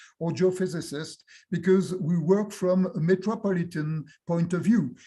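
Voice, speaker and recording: With a French accent, a man speaks at a high pitch in a dark, mellow tone with ordinary pitch variation, in a very clean recording with a silent background. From France. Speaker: university professor and geographer. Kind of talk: academic Q&A discussion. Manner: halting, many hesitations.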